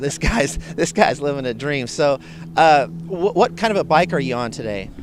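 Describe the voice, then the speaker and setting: Over noticeable background noise, a man speaks at a moderate pace in a fairly high voice with very wide pitch swings. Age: 50s. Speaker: motorcycle vlogger. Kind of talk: casual interview. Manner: halting, stuttering.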